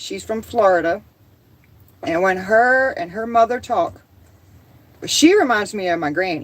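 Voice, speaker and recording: Speaking fairly slowly with long, frequent pauses, a woman uses an animated tone, a fairly high pitch and very wide pitch swings. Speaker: homesteading livestreamer. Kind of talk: casual livestream chat.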